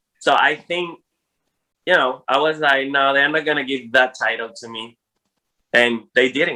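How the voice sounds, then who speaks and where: A man with a non-native accent and a fairly high pitch speaks with big swings in loudness and long, frequent pauses. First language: Spanish. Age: 40s. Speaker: drag queen. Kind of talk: interview. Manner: animated.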